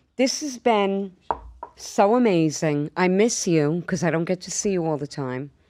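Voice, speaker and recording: A woman talks at a fairly slow pace with a fairly low pitch and a New York accent. Her intonation is lively. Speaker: podcast host. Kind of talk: casual chat. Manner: animated.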